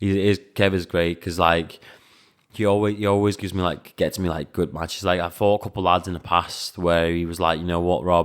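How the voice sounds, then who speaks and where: A man with a Liverpool accent speaks at a fairly quick pace in a very deep, low voice with monotone, flat intonation, recorded very cleanly against a silent background. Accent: English, sounds Scouse. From Latvia, raised mostly in England. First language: Latvian. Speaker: professional kickboxer and coach. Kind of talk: podcast interview. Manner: hesitant, many fillers.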